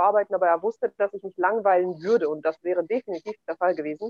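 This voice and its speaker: A woman, using an ordinary speaking voice, keeps her pitch medium with ordinary pitch variation and moves at a fairly quick pace. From Kazakhstan, German settlement in the Altai region. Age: 30s. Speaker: entrepreneur and real estate investor. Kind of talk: interview conversation.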